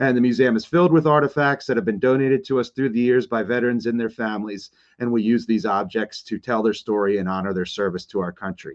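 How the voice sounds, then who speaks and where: A man talks at a very fast pace with hardly any pauses. His pitch is medium, with ordinary variation. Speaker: museum director and program host. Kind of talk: livestream history presentation.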